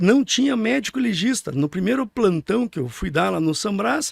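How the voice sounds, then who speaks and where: With a dry, close sound and no echo, a man talks at a moderate pace in a high pitch for a man, his pitch swinging very widely. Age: 60s. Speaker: neurologist. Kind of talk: interview. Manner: halting, with repeated words.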